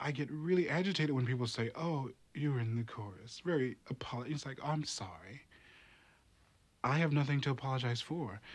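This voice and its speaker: Recorded very cleanly against a silent background, a man with an American accent talks at a fairly quick pace in a medium, somewhat breathy voice with ordinary pitch variation. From US South, North Carolina. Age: 30s. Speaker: opera chorus singer. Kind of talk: interview testimony.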